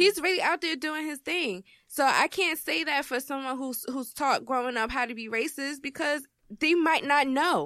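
A woman with an American accent projects a raised, high-pitched voice at a moderate pace, her intonation lively. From New Jersey. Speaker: podcaster. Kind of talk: casual chat.

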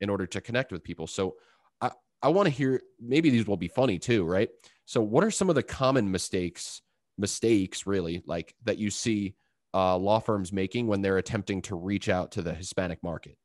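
With an American accent and a plain, everyday voice, a man speaks at a fairly quick pace with fairly low pitch and ordinary pitch variation, the sound dry and close with no echo against a quiet background. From Long Island, New York. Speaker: podcast host. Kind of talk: interview conversation.

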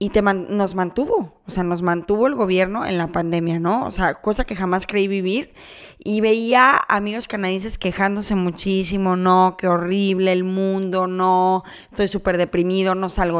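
In a very clean recording with a silent background, a woman with a normal speaking voice talks at a moderate pace, medium in pitch and fairly even in intonation. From Mexico, Guadalajara. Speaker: podcast co-host. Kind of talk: casual chat.

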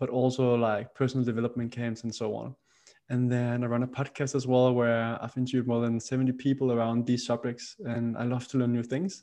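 Against a quiet background, a man with a Danish accent talks very fast at a medium pitch, his tone dark and mellow and his intonation flat and monotone. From Denmark, Roskilde. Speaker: podcast host and startup founder. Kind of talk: casual interview.

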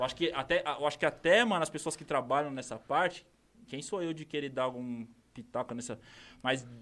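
In a plain, everyday voice, a man with a fairly high pitch and ordinary pitch variation talks at a fairly quick pace on a very clean recording with a silent background. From interior of São Paulo state, Brazil (Campinas). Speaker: rapper. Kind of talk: casual chat. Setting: studio.

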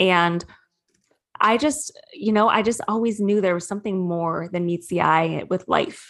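A woman speaks at medium pitch and a moderate pace, with fairly even intonation. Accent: Midwestern American. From Michigan, Metro Detroit. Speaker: spiritual coach. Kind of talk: interview.

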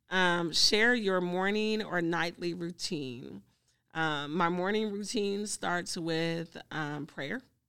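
In a very clean recording with a silent background, a woman speaks. She has an American accent and a very slow pace. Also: fairly low pitch for a woman, ordinary pitch variation. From US South, Greenville, Mississippi. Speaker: social worker and grief counselor. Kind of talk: interview conversation.

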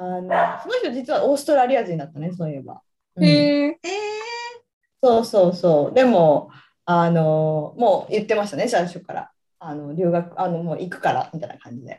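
At a medium pitch and a moderate pace, a woman with a dark, mellow tone makes very wide pitch swings and big swings in loudness. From Japan, Iwate. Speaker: nurse. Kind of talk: casual chat.

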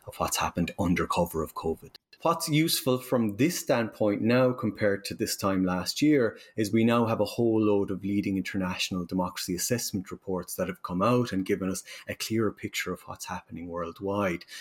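With an Irish accent, a man talks at a fairly quick pace in a fairly low pitch, his intonation lively and hardly any pauses between words. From Ireland. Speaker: university professor. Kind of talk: interview.

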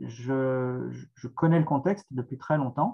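The pace of this man's speech is very slow. Its pitch variation is ordinary. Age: 40s. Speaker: author and essayist. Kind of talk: interview answering questions. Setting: video call.

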